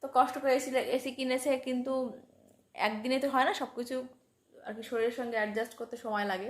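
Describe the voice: A woman's high-pitched voice at a fairly quick pace with fairly even intonation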